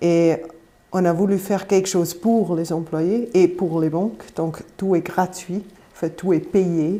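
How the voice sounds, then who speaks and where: A woman with a slight Swiss German accent speaks very slowly in a dark, mellow tone. Her pitch is fairly low and her intonation fairly even. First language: Swiss German (speaking French). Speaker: campaign representative. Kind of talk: live panel debate. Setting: studio.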